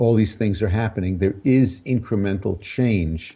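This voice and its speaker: With a dark, mellow tone and a somewhat breathy quality, a man speaks at a moderate pace with fairly even intonation. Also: quiet background. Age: 70s. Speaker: spiritual teacher. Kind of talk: interview conversation.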